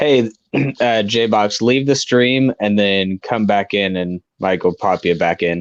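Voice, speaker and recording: Very slowly and with ordinary pitch variation, a man speaks in a fairly low pitch, with a dry, close sound and no echo. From Rockford, Illinois. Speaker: livestream viewer joining the stream. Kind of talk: casual chat. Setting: livestream video call.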